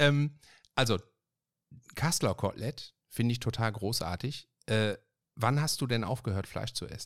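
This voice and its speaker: A man speaks with an animated tone. His pace is moderate. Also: very clean recording, silent background. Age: 50s. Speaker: podcast host. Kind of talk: casual chat. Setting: home office.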